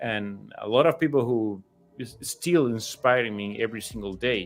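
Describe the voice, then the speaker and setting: Speaking at a fairly slow pace with a Spanish accent, a man is heard in a very clean recording with a silent background. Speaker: statue sculptor. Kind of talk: interview. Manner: halting, many repetitions.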